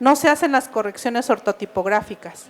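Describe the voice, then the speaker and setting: Intonation here is lively. Words come at a moderate pace. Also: woman. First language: Mixe (speaking Spanish). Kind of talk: book presentation talk. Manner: hesitant, many fillers.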